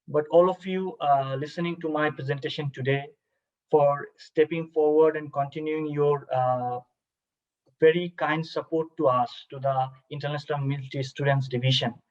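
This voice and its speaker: At a moderate pace, a man speaks with a Bangladeshi accent and monotone, flat intonation. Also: fairly high pitch for a man. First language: Bengali. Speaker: army officer. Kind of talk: cultural presentation. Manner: halting, many fillers; formal.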